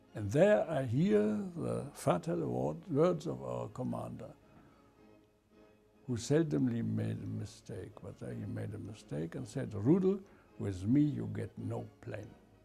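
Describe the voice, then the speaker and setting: Over music in the background, a man speaks at a fairly slow pace, his loudness swinging widely. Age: 80s+. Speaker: war veteran. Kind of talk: interview. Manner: halting.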